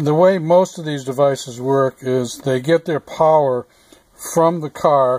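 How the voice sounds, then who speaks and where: The voice moves at a fairly slow pace, with a dry sound and no echo. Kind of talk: tutorial. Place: car.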